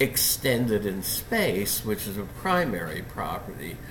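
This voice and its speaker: Fairly slow speech with noticeable background noise and audible room echo. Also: man. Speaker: philosophy professor. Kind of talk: lecture. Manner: halting.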